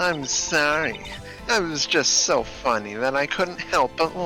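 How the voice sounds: A man's put-on character voice, nasal and fairly high-pitched, at a fairly slow pace over clear music in the background.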